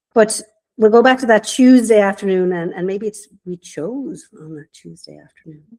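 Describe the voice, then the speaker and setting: A woman with a strong Irish accent, fairly high pitch, a dark, mellow tone, lively intonation, big swings in loudness and a moderate pace. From Ireland, Waterford. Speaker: business mentor. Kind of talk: podcast interview.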